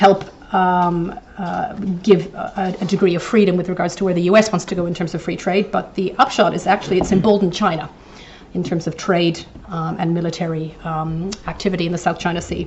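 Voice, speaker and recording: A woman's fairly low, monotone, flat voice at a fairly quick pace, with audible room echo and noticeable background noise. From eastern Canada, New Brunswick. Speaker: professor, invited lecturer. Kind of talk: lecture. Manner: hesitant, many fillers.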